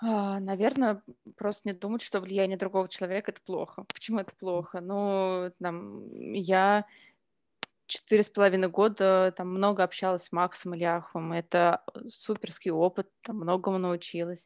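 Her loudness swings a lot, while her intonation stays monotone and flat. The woman speaks at a moderate pace in a medium pitch. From Russia, Omsk and Ryazan. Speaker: editor and author. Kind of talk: casual chat. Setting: home kitchen.

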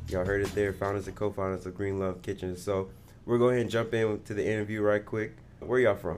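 With music in the background, a man with a New Orleans accent speaks at a very fast pace. His pitch is fairly low and his intonation fairly even. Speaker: podcast host. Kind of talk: interview. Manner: casual, laid-back.

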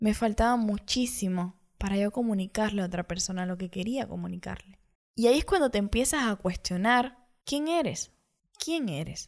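A woman's medium-pitched, ordinary speaking voice, with lively intonation at a moderate pace. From Cuba. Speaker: podcaster. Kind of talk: personal monologue.

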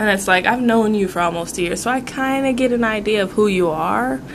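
Noticeable background noise and audible room echo surround the voice. A woman speaks at a moderate pace. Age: 20s. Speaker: podcast co-host. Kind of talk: casual chat.

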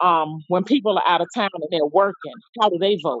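An unremarkable speaking voice: a woman with an American accent, medium pitch, ordinary pitch variation and a fairly quick pace. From New York. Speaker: discussion panelist. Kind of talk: group discussion.

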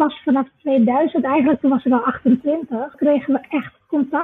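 Fairly even intonation runs through this woman's high-pitched voice. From Suriname. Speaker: business leadership trainer and author. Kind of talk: casual interview chat.

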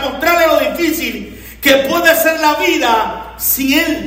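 In an animated tone, a man with an extremely high pitch speaks over noticeable background noise. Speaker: pastor. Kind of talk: sermon. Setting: church.

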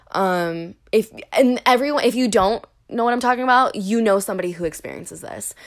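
A woman with a fairly high pitch sounds nervous as she talks at a fairly quick pace with ordinary pitch variation. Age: 30s. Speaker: podcast host. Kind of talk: casual solo chat. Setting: home recording, alone with cat. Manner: nervous, rambling, filler-heavy casual delivery.

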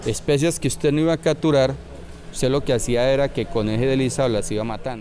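A man talks very fast at a medium pitch. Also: ordinary pitch variation. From Colombia, Puerto Berrío area, Antioquia. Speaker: fishermen's federation leader. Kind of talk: interview testimony.

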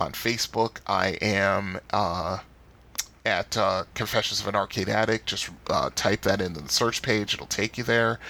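Fairly even intonation from a man pitched fairly low. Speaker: podcast host. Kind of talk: solo podcast monologue. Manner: halting, many filler words.

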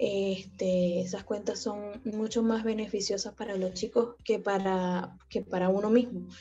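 The voice has a dark, mellow tone, somewhat breathy, with monotone, flat intonation and hardly any pauses. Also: woman, medium pitch for a woman. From Venezuela. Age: 20s. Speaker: fan account manager. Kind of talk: casual interview.

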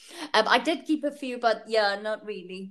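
A woman with an Afrikaans accent, fairly high in pitch and bright, sharp in tone, with lively intonation at a moderate pace, on a very clean recording over a silent background. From South Africa. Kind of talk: casual chat.

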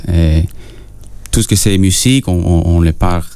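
With noticeable background noise behind him, a man talks at a very slow pace. His pitch is very deep and low, with ordinary variation. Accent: Spanish. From Peru. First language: Spanish (speaking French). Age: young. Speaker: singer-songwriter. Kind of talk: radio interview. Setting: radio studio. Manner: halting.

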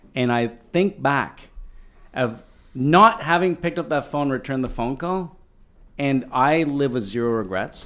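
A man with a Canadian accent speaks at a fairly slow pace in a fairly high pitch, his lively intonation giving an animated tone. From Canada, Ottawa. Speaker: co-working company executive. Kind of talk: interview. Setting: on location in a co-working office.

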